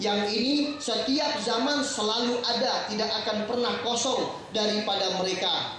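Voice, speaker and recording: Amid noticeable background noise and strong room echo, a man speaks at a moderate pace with fairly even intonation. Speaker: religious preacher. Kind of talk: sermon. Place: hall.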